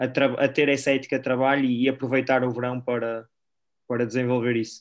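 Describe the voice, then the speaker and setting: On a very clean recording with a silent background, a man speaks fairly quickly at a medium pitch, his intonation flat and monotone. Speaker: podcast co-host, basketball coach. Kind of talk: casual interview.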